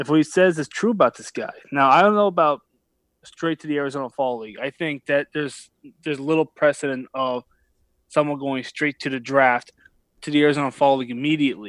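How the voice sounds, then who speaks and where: A man's plain, everyday voice at a fairly high pitch, with ordinary pitch variation and big swings in loudness, in a dry, close sound with no echo on a very clean recording with a silent background. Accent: American. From US, Philadelphia. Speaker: baseball reporter. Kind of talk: casual chat; interview.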